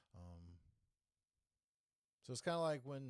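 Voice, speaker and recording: A man talks at a fairly quick pace. He has a Southern US accent. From North Carolina, US South. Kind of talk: casual political podcast talk to camera. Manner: casual, hesitant, with many fillers.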